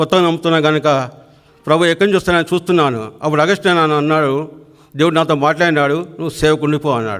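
Ordinary pitch variation in a normal speaking voice. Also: man. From Telangana, near Siddipet. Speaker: church member giving testimony. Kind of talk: testimony.

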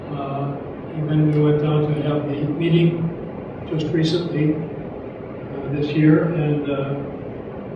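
Speaking at a very slow pace, a man leaves long, frequent pauses. The recording has noticeable background noise and strong room echo. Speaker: clergyman. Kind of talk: memorial tribute speech. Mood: solemn, reflective. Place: hall.

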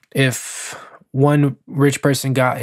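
With a quiet background behind him, a man speaks in a monotone, flat intonation. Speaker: finance vlogger. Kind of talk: casual vlog commentary. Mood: skeptical, persuasive. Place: home room. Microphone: studio mic.

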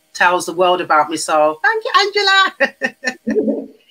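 A woman in a Wolverhampton accent, bright and sharp in tone, at a fairly slow pace. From England, Wolverhampton; England. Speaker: herbalist; guest. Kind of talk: interview. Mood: warm, friendly.

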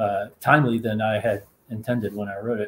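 Speaking at a moderate pace with an American accent, a man keeps a fairly low pitch and a monotone, flat intonation. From US South. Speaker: novelist. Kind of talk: panel conversation. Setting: video call. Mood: relaxed, conversational. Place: home room. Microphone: earbuds.

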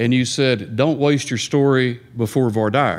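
An unremarkable speaking voice from a man, medium in pitch, with ordinary pitch variation at a moderate pace. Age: 60s. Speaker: divorce lawyer. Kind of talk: audience question. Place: meeting room. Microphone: podium.

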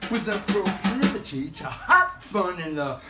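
Clear music can be heard in the background. Over it, a man talks. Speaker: poet. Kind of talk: spoken-word poetry performance. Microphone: phone near.

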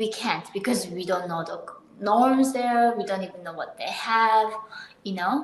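A woman speaks at a fairly slow pace with a medium pitch. Audible room echo surrounds her voice. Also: ordinary pitch variation.

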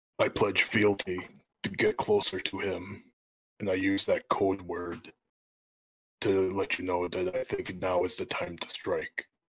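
A man puts on a character voice with a fairly low pitch. He goes at a fairly slow pace, with long, frequent pauses. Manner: earnest, scheming.

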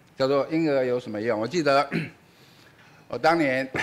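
At a moderate pace, a man talks in a fairly high pitch with ordinary pitch variation. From Taiwan. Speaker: physics professor, event moderator; physics professor. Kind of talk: introduction at public lecture; lecture. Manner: hesitant, many fillers. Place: hall. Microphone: podium.

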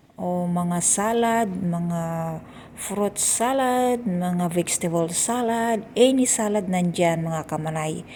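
Amid audible room echo, a woman speaks at a very slow pace in a dark, mellow tone. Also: medium pitch for a woman, ordinary pitch variation. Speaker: vlogger, overseas domestic worker. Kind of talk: casual vlog narration. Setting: hotel buffet restaurant. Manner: casual, filler-heavy.

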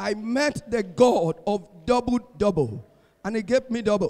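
A man speaks at a high pitch with ordinary pitch variation. The background is quiet. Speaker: preacher. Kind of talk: sermon. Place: church. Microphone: handheld.

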